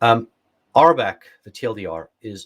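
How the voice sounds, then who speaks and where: A man speaks with an English accent. His voice is somewhat breathy. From England. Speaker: security expert, workshop presenter; presenter. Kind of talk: technical workshop lecture; lecture. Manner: frequent fillers (uh, um). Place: home room.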